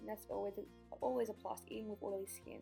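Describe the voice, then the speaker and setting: Over music in the background, a woman speaks very fast in an Australian accent. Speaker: beauty vlogger. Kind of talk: makeup tutorial voice-over.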